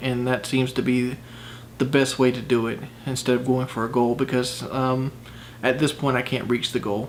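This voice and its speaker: A man talks at a medium pitch with monotone, flat intonation. Noticeable background noise runs underneath. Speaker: vlogger doing fitness challenge. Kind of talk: casual vlog talk to camera. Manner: hesitant, many fillers.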